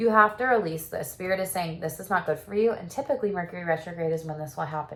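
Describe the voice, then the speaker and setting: A woman speaks at a very fast pace in a fairly low, somewhat breathy voice. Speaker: tarot reader and sex therapist. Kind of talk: tarot reading. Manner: casual, animated.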